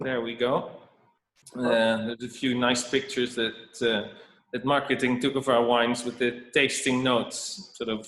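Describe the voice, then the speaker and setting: With a Dutch accent, the speaker talks at a fairly slow pace. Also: man. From Netherlands. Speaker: winemaker. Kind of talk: presentation. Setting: video call. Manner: halting.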